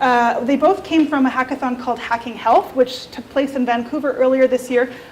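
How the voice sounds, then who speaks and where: Over noticeable background noise, a woman speaks with fairly even intonation. Her pitch is high. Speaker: researcher presenting a report. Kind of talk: presentation to a meetup audience. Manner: fast.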